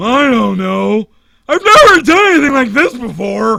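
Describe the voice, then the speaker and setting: At a moderate pace, a man performs in a put-on character voice. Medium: solo performance. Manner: dopey, slow.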